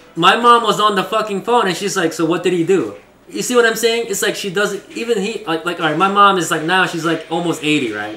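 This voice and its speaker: A man speaks in a raised, projected voice with a high pitch. His pitch variation is ordinary, and there is noticeable background noise. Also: hardly any pauses. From East Asia, moved to US as child. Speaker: streamer. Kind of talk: casual chat. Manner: halting.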